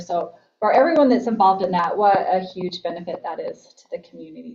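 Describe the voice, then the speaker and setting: A woman's medium-pitched voice moves along at a moderate pace. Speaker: school board member. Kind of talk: board meeting report. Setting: public board meeting. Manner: loud.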